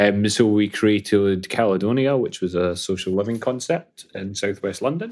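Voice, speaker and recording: Speaking in a Scottish accent, a man keeps a moderate pace with hardly any pauses at a fairly low pitch. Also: ordinary pitch variation. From Scotland (Falkirk). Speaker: property tech founder. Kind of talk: interview.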